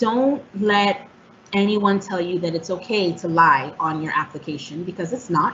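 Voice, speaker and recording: Noticeable background noise accompanies a woman speaking at medium pitch and a moderate pace. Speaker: housing counselor presenter. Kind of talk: presentation.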